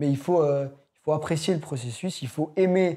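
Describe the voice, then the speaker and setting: His tone is dark and mellow, the man's pitch fairly high and his intonation fairly even. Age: young. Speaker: young musician, guitarist and pianist. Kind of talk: casual chat. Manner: halting.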